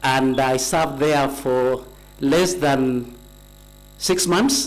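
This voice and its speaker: A man speaks at a very slow pace with fairly high pitch and ordinary pitch variation. Room echo is audible, along with noticeable background noise. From Kenya, Kericho county. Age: 60s. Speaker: nominee being vetted, retired tea company manager. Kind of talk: formal testimony at vetting hearing. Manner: formal, with hesitations.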